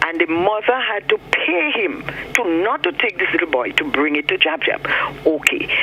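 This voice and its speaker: Over noticeable background noise, a man talks at a moderate pace in a high voice with very wide pitch swings. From Grenada. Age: 60s. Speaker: caller. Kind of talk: phone-in call. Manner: animated.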